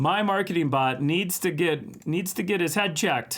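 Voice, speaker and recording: A man speaks with an American accent and lively intonation. The recording is very clean, with a silent background. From Minnesota, US. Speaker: art livestream host. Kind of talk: casual livestream chat. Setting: live stream.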